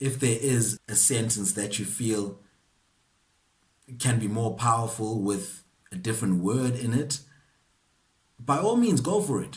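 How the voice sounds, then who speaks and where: A somewhat breathy man at a medium pitch, with long, frequent pauses. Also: ordinary pitch variation, fairly slow pace. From South Africa, KwaZulu-Natal. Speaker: actor. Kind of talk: acting masterclass talk to camera. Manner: casual, conversational.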